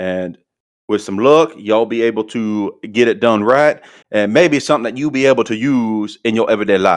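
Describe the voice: Quiet surroundings behind plain reading aloud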